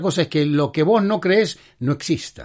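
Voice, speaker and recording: Against a quiet background, a man talks. His pitch is high. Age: 70s. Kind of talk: religious talk show monologue. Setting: studio.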